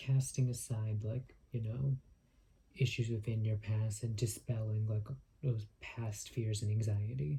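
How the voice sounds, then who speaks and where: Somewhat breathy, a man speaks at a fairly slow pace with medium pitch. His tone is dark and mellow, with ordinary pitch variation. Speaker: tarot reader. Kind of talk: tarot reading. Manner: frequent filler words; stuttering.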